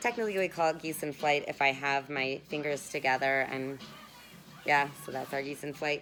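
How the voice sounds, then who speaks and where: Pitch moves in an ordinary way as the speech goes along at a moderate pace. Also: woman, very deep, low pitch for a woman. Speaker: massage instructor for acrobats and aerialists. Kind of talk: guided tutorial. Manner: casual, chatty with fillers.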